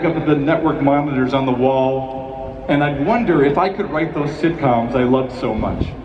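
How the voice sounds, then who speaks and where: An American-accented man at a fairly high pitch, fairly quick pace and ordinary pitch variation, over noticeable background noise. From Chicago, United States. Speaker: television writer and producer giving a commencement speech. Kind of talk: commencement speech, humorous address to graduates. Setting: large auditorium or stadium ceremony. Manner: humorous, conversational, self-deprecating.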